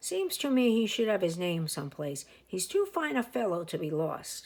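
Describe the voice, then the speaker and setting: Using a put-on character voice, a woman speaks at a medium pitch and a moderate pace. Her pitch swings very widely. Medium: read story. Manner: warm, musing.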